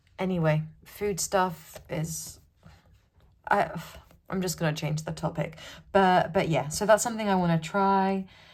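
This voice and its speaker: A woman mumbles in a British accent, her voice somewhat breathy. The recording is very clean, with a silent background. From UK. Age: 20s. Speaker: journaling YouTuber. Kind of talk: casual chat. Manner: mumbling.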